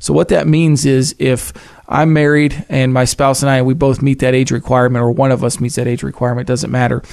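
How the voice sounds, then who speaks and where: A man's plain, everyday voice, medium in pitch, at a fairly quick pace with very even loudness. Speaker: financial advisor. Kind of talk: casual chat.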